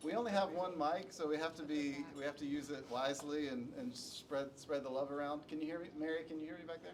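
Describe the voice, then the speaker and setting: A man's fairly high voice at a very fast pace, hardly any pauses, over noticeable background noise. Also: ordinary pitch variation. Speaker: panel moderator. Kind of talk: panel discussion. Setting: conference room with live audience, unamplified. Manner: projecting to the room. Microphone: speaking without the microphone.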